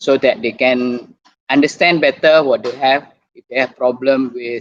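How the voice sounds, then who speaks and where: In a dry, close recording with no echo, a man with an Indonesian accent speaks at a fairly high pitch. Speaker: doctor and YouTuber. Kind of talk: online talk presentation. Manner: halting.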